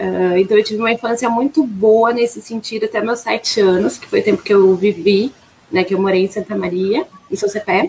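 Clear background noise runs beneath speech delivered rather quickly. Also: woman, fairly high pitch for a woman, ordinary pitch variation. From Rio Grande do Sul, Brazil. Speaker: flight attendant. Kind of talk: interview.

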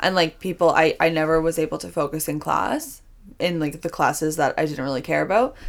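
Her very deep, low voice carries vocal fry and ordinary pitch variation. The woman speaks at a fairly quick pace. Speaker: dance instructor and podcast host. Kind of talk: casual chat.

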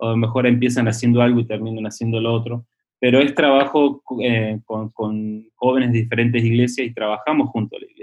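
This man uses a medium pitch and monotone, flat intonation. He speaks fairly quickly. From Argentina (Córdoba), then Switzerland from age 12. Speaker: missionary. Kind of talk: casual interview. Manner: halting, many repetitions.

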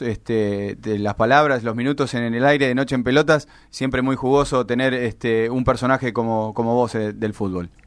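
A man with an ordinary speaking voice talks at a moderate pace in a medium pitch, with hardly any pauses. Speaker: sports radio host. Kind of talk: radio interview. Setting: studio.

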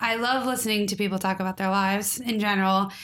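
A woman mumbles very fast in a fairly high, bright, sharp voice with monotone, flat intonation. The recording is very clean, with a silent background. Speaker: podcast co-host. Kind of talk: casual chat. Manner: clear, trained delivery without mumbling.

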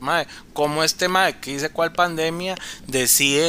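A man talks at a fairly slow pace in a plain, everyday voice. His pitch is fairly high, and his intonation stays fairly even. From Costa Rica, Cartago. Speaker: podcast guest. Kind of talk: casual chat.

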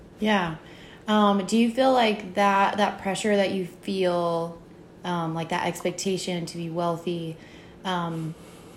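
Pitched in the middle for a woman, her voice moves at a very slow pace with fairly even intonation. Room echo is audible. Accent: American. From Virginia. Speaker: podcast host. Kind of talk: interview.

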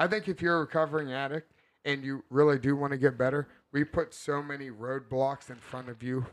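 A man with a plain, everyday voice talks at a fairly quick pace, his fairly high pitch held in a fairly even intonation. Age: 30s. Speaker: podcast co-host. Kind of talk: casual chat.

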